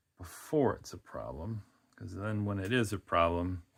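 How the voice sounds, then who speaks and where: Someone speaks with a Wisconsin accent in a relaxed tone at a moderate pace. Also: man. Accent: Midwestern Wisconsin, recognizable. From Wisconsin, US Midwest. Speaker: fluid art painter. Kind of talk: casual tutorial. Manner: relaxed, filler-heavy.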